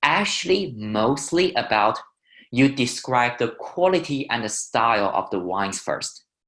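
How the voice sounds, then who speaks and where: With a Chinese accent, a man at medium pitch talks at a very slow pace with lively intonation. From China. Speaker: wine educator. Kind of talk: webinar tutorial.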